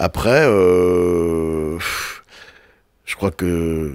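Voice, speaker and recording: Over a silent background on a very clean recording, a man speaks with a very deep, low pitch. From Brittany, France (Brest area). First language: Breton (speaking French). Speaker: television and festival producer. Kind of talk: interview. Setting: radio studio. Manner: halting, many repetitions.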